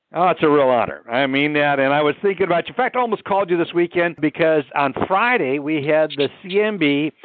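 At a fairly quick pace with hardly any pauses, a man talks in a fairly high pitch with ordinary variation and very even loudness. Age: 60s. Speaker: podcast host, mortgage professional. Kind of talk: casual interview. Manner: animated.

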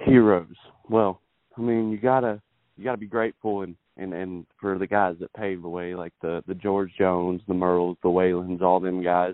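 With a Texan accent, a man speaks at a very deep, low pitch, his intonation fairly even but his loudness swinging widely. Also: moderate pace. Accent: Texas Southern. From Texas, Beaumont. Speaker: country singer-songwriter. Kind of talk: interview.

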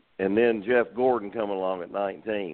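The man talks at a moderate pace. His intonation is fairly even. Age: 60s. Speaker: race car driver. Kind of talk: casual interview. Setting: phone call.

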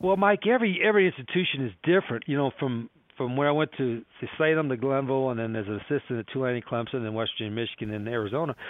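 A man with an American accent at a very fast pace, medium in pitch, with lively intonation. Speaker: college football head coach. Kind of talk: casual interview storytelling.

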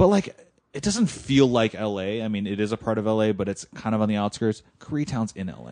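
Speaking with a Californian accent, a man moves at a fairly quick pace with ordinary pitch variation. His loudness swings widely. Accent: Californian American. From US West Coast, Los Angeles. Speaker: food editor. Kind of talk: casual chat.

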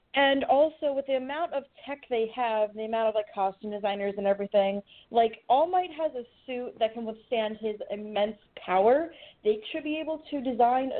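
Fairly high for a woman, her voice is an unremarkable speaking voice, moving at a moderate pace with ordinary pitch variation. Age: 20s. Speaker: podcast co-host. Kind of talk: casual chat.

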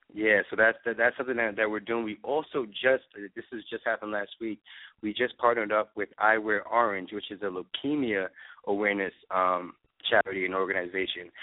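A man speaks fairly quickly with an American accent and a fairly low pitch. His intonation is fairly even, and he has an unremarkable speaking voice. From New York. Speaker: eyewear designer and business owner. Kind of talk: interview. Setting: phone call.

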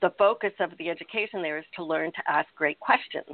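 A woman with an American accent, fairly low in pitch, in a monotone, flat intonation. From United States. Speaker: innovation and strategy consultant. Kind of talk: interview.

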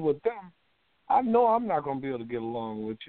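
A man speaks with very wide swings in pitch. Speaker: co-host. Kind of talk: casual talk radio chat. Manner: quiet, hesitant.

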